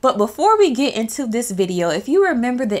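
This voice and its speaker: A woman speaking at a fairly quick pace. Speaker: witchcraft vlogger. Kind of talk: casual vlog chat. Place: home room. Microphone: studio mic.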